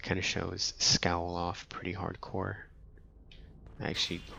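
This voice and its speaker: Soft-spoken, a man talks at a moderate pace in a very deep, low voice with a bright, sharp tone. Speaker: gaming channel host. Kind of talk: casual gameplay commentary.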